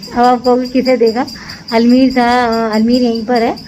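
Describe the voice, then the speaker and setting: With music in the background, a woman speaks at a moderate pace in a fairly high pitch. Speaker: family vlogger. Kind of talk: casual vlog talk to camera. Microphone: voice may record quietly.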